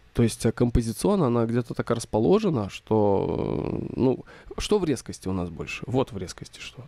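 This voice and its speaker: A man's medium-pitched voice with vocal fry, a dark, mellow tone, a moderate pace, lively intonation and big swings in loudness. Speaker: photography teacher. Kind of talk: tutorial. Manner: casual, filler-heavy.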